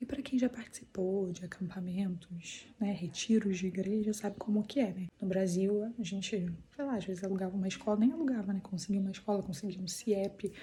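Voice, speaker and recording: Soft-spoken and at a fairly quick pace, a woman talks with hardly any pauses, her medium pitch showing ordinary variation. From Brazil, Petrópolis, Rio de Janeiro. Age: 30s. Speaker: family vlogger. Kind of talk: casual vlog. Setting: school building at a church camp. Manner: speaking softly.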